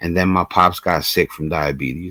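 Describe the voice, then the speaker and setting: In an American accent, the speaker talks at a moderate pace with ordinary pitch variation on a very clean recording with a silent background and a dry, close sound with no echo. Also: man. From Brooklyn, New York, USA. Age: 40s. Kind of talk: casual talk to camera, vlog.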